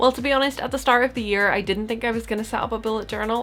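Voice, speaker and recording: Fairly even intonation in a Northern Irish accent, with music in the background. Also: woman. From Northern Ireland. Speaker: lifestyle youtuber. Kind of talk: casual tutorial vlog.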